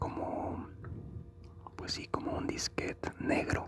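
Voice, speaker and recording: Very slow, whispered words from a man, with noticeable background noise. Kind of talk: ASMR chat about consoles and video games. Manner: soft-spoken, slow, relaxing.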